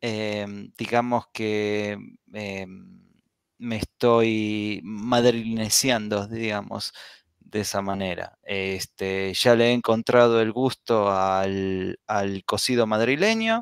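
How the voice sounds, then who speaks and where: In a very clean recording with a silent background, a man with a fairly low pitch speaks at a very slow pace in a monotone, flat intonation. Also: dry, close sound with no echo. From Argentina, Buenos Aires. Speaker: blogger, podcast guest. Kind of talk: casual chat.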